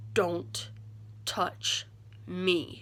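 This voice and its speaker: A growling, put-on character voice. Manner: growling, hostile.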